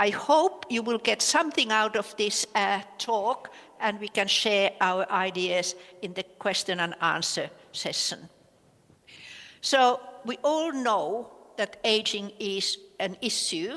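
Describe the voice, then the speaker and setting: Very slowly and with lively intonation, a woman with a Finnish accent speaks in a fairly high pitch. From Finland. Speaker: professor. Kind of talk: conference lecture. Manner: hesitant, many filler sounds.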